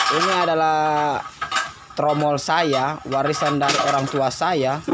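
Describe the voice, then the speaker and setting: Noticeable background noise surrounds a man whose voice has a fairly high pitch. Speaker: vlogger, gold-processing mill owner. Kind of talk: casual vlog walkthrough. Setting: outdoors at a gold-processing mill, handheld camera.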